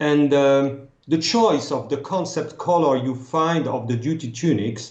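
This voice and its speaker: A man with a French accent, fairly high pitch and ordinary pitch variation, at a fairly slow pace against a quiet background. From France, Strasbourg. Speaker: costume consultant. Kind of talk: interview. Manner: halting.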